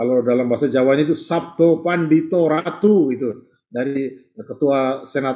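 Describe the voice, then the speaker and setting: Fairly high in pitch yet dark and mellow in tone, a man speaks at a moderate pace with ordinary pitch variation. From Central Java, Indonesia (Kebumen, Gombong). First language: Javanese (speaking Indonesian). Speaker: professor and study-group host. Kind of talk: online religious study session opening. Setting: Zoom video call. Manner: informal, with fillers and repetitions.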